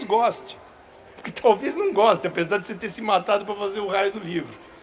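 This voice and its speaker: A man speaks in a high pitch with lively intonation at a fairly quick pace. Noticeable background noise runs behind him. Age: 60s. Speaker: children's book author. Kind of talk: public talk Q&A. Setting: stage with audience. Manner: halting, repeats words.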